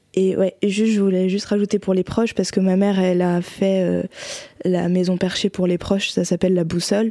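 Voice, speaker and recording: At a fairly quick pace, a woman speaks in a monotone, flat way at a medium pitch, with very even loudness and a dark, mellow tone. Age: 20s. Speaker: guest with bipolar disorder. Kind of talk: casual chat.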